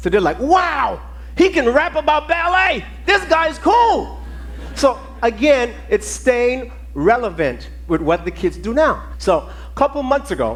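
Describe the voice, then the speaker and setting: Noticeable background noise sits behind a man speaking in a Virgin Islands accent. His tone is animated and his pace fairly slow. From US Virgin Islands (Saint Thomas). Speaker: ballet teacher. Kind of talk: conference talk.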